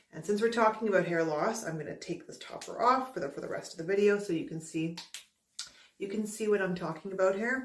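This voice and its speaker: The intonation is lively and the pace very fast, with big swings in loudness. Room echo is audible. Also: woman, medium pitch for a woman. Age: 30s. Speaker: YouTuber reviewing hair loss products. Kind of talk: casual vlog monologue. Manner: halting, with repetitions. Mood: candid, mildly disappointed. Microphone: phone near.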